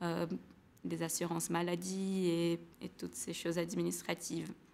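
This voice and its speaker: Speaking in a Portuguese accent, a woman holds a medium pitch with monotone, flat intonation. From Brazil, São Paulo. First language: Portuguese (speaking French). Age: 20s. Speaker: former student, engineer. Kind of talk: testimony. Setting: webinar. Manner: halting, many hesitations.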